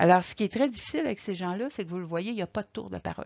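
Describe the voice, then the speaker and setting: A woman's fairly low voice with vocal fry and ordinary pitch variation, over a quiet background. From Quebec. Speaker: caregiver support coordinator; presenter. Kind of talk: lecture. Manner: halting. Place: home room. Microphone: webcam.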